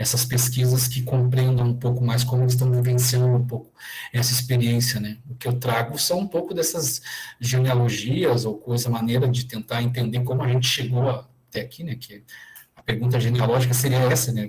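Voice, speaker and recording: A man's somewhat breathy voice with monotone, flat intonation. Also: medium pitch for a man, moderate pace. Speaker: education professor. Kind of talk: online lecture Q&A. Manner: hesitant, many fillers.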